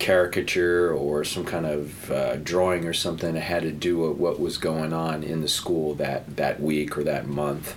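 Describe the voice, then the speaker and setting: Very deep and low, a man's monotone, flat voice comes with audible room echo and noticeable background noise. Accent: American. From New Jersey. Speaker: painter. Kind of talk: casual interview.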